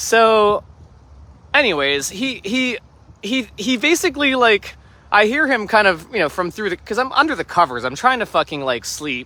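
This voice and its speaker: Raising and projecting his high-pitched voice, a man speaks at a moderate pace in a bright, sharp tone with very wide pitch swings. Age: 30s. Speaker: livestreamer. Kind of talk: casual chat. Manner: halting.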